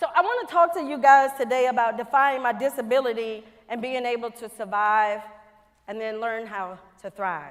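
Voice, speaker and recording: An animated woman with a Louisiana accent, high-pitched and lively in intonation, at a moderate pace. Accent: Southern US (Louisiana). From Louisiana, US South. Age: 50s. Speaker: NASA quality engineer, plenary speaker. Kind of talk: conference keynote talk. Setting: stage with audience.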